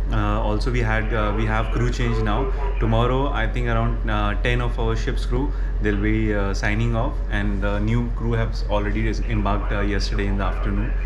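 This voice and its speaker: A man with a very deep, low voice speaks in a flat monotone at very even loudness over noticeable background noise. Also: moderate pace. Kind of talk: casual vlog chat. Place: boat. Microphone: phone near.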